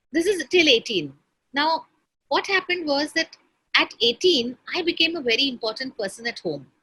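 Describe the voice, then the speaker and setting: A woman speaks at a moderate pace in a raised, projected voice, high-pitched with a bright, sharp tone. Her intonation is lively, and the sound is dry and close with no echo. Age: 60s. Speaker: entrepreneur. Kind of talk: conversational interview.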